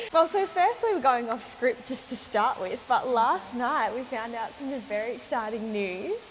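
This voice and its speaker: Over noticeable background noise, a woman with a high pitch talks at a moderate pace with lively intonation and hardly any pauses. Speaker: salon owner, interviewer. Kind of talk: podcast interview host.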